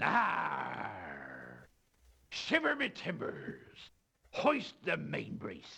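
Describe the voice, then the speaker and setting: A man performs a put-on character voice at a very slow pace. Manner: exaggerated, hammy.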